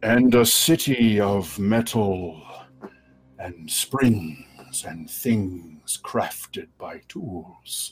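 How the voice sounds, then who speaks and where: A man's put-on character voice at a medium pitch and a very slow pace. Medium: actual play. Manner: slow, formal, measured.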